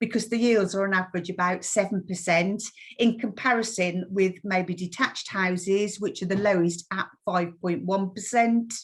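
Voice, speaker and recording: A woman speaks at a moderate pace with a West Midlands accent, her voice medium in pitch and somewhat breathy. Her pitch varies in an ordinary way, and the background is quiet. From West Midlands, England. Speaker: mortgage lender account manager. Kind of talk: webinar presentation. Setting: online webinar.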